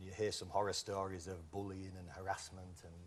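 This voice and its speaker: Somewhat breathy and very deep in pitch, a man with a Yorkshire accent talks in a monotone, flat intonation. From northern England, Whitby, North Yorkshire. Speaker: game show contestant. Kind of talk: casual chat.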